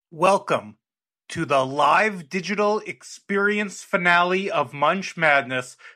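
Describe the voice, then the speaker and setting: On a very clean recording with a silent background, a man projects a raised voice at a high pitch with a bright, sharp tone, ordinary pitch variation and a fairly slow pace. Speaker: podcast commissioner character. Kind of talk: formal mock statement. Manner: formal.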